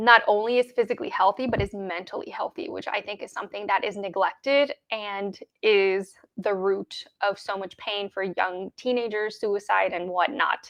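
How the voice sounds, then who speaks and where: A woman speaks with a Spanish accent at medium pitch. Her pace is moderate and her pitch varies in an ordinary way. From Mexico, Jalisco. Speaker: holistic health practitioner. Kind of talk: interview.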